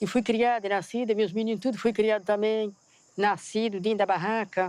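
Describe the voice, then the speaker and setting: A woman talks in a monotone, flat intonation at a very even loudness. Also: fairly high pitch for a woman, moderate pace. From Brazil, Espírito Santo, Romani camp. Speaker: Romani woman. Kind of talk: documentary testimony.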